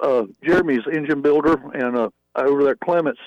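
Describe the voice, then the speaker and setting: Speaking at a moderate pace with a Southern US accent, a man shows ordinary pitch variation. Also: dry, close sound with no echo. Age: 50s. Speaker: drag racer. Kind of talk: radio interview.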